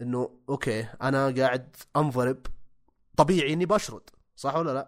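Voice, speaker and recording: The man's voice sits at a fairly high pitch, with ordinary pitch variation. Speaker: gaming podcast panelist. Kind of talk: casual chat.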